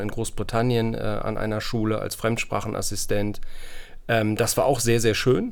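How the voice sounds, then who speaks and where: Audible room echo carries a man's medium-pitched voice, delivered in a monotone, flat manner. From northern Germany, Hamburg. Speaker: professor. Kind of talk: interview. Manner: hesitant, many fillers.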